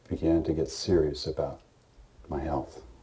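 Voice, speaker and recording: A man's very deep, low voice, somewhat breathy and dark and mellow in tone, with an American accent. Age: 60s. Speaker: war veteran and program testimonial. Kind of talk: testimony. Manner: halting, frequent fillers and repeats.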